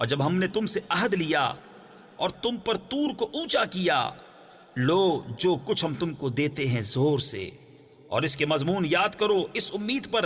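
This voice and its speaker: Fairly slow, with long, frequent pauses, a man speaks in a high voice that swings very widely in pitch. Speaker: Urdu translation reader. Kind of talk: Quran translation reading.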